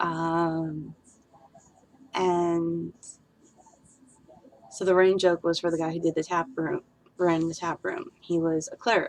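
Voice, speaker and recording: A woman's fairly low voice at a fairly slow pace, with fairly even intonation and long, frequent pauses. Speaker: streamer and D&D world builder; streamer. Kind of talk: casual livestream chat. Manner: loud. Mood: relaxed, reminiscing. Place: home room. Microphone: webcam.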